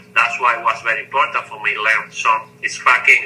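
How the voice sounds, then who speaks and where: A man talks at a fairly quick pace. He has a Mexican accent. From Mexico. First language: Spanish. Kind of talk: interview answer. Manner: fast at times.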